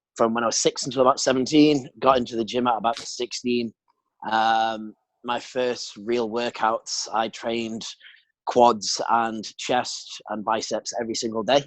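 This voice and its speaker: At a fairly slow pace, a man of medium pitch speaks in a monotone, flat intonation. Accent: British. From England. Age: 20s. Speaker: bodybuilder. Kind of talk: casual chat.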